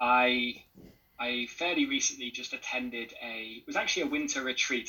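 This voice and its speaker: Here a man speaks at a moderate pace. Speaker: retreat participant. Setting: video call.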